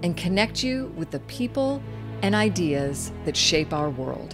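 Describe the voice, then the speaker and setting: Music plays behind a woman who talks with an American accent. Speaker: retired astronaut. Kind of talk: promotional intro voice-over. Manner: epic, inspiring.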